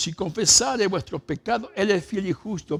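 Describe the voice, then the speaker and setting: A man talking at a moderate pace over background music. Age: 70s. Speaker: pastor. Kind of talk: sermon.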